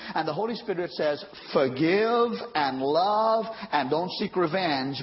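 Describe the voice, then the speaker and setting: A man talks in an animated tone with very wide pitch swings. Noticeable background noise runs behind him. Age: 50s. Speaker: pastor. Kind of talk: sermon. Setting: church. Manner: call-and-response preaching.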